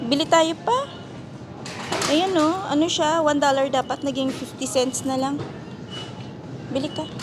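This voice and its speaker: A woman speaks at a fairly slow pace with a high pitch, ordinary pitch variation, and long, frequent pauses over noticeable background noise. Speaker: family vlogger. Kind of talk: casual vlog narration.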